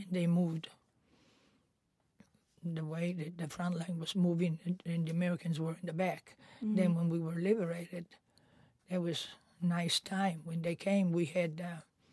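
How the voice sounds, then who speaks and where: A woman with a fairly low, somewhat breathy voice and a dark, mellow tone speaks at a moderate pace in a monotone, flat intonation, leaving long, frequent pauses. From Italy. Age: 80s+. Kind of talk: interview answer.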